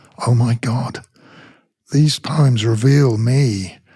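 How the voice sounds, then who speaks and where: This man talks at a medium pitch with ordinary pitch variation and a somewhat breathy quality. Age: 70s. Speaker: rock singer and poet. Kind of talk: casual chat.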